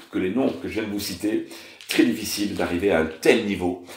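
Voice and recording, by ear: A man's fairly low, slightly mellow voice with vocal fry, ordinary pitch variation and a moderate pace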